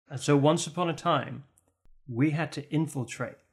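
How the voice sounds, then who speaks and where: A somewhat breathy man speaks at a fairly slow pace with ordinary pitch variation. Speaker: role-play podcast player. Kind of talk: in-character improvised role-play. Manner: playful, laughs often.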